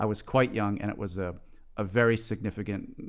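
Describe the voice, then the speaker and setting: A man talks in a fairly low voice, his intonation staying fairly even. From United States. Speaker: composer and conductor. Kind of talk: interview conversation. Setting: video call. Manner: halting, with many fillers.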